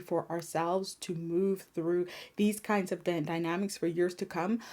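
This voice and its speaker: In a very clean recording with a silent background, a woman with a medium pitch and a dark, mellow tone speaks at a moderate pace in a monotone, flat intonation. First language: French. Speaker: spiritual healer and tarot reader. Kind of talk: card reading monologue.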